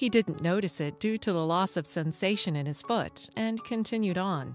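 Over music in the background, a woman speaks at a moderate pace with lively intonation and a medium pitch. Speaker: voice actor. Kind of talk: corporate narration, medical product explainer. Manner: warm, storytelling.

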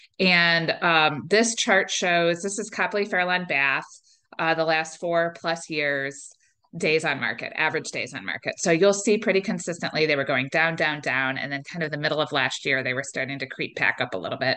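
A woman with an American accent speaks at a moderate pace in a fairly low, bright, sharp voice with ordinary pitch variation. The background is quiet. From Northeast Ohio. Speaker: realtor. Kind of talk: webinar presentation. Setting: online webinar. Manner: casual, conversational with filler words. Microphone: webcam.

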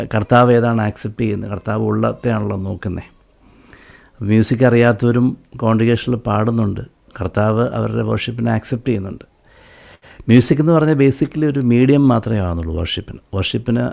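This man has a medium-pitched voice, and his pitch varies in an ordinary way. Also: quiet background. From Kerala, Aluva; Kerala. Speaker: church bass guitarist; guest. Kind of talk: testimony. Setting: live video broadcast. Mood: earnest, reflective. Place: studio. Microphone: studio mic.

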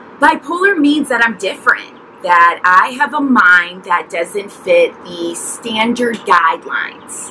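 Against light background noise, a woman talks at a fairly slow pace with very wide pitch swings. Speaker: mental health vlogger. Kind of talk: personal story vlog. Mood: earnest, emotional. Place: garden.

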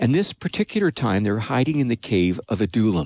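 A man with a Canadian accent speaks at a moderate pace, the sound dry with no echo and the background quiet. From Canada. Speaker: pastor and radio host; pastor, radio host. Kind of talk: casual chat; radio sermon. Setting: studio. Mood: warm, storytelling. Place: studio. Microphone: studio mic.

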